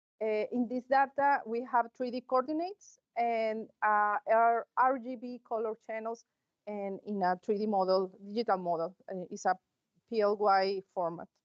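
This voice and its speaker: A woman's fairly high voice at a moderate pace with ordinary pitch variation. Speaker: conference presenter. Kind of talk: conference talk. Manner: halting, many fillers.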